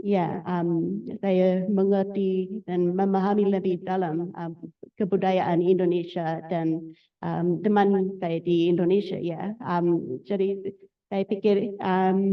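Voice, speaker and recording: A woman speaks at a very slow pace with an English accent, her medium-pitched voice held in a monotone, flat intonation. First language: English (speaking Indonesian). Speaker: doctoral researcher, art historian. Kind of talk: academic talk. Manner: halting, many fillers.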